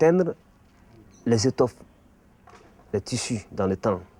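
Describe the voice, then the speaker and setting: His voice has a dark, mellow tone at a medium pitch for a man. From Mali. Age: 50s. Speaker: art teacher and bogolan artist. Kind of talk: explanatory talk.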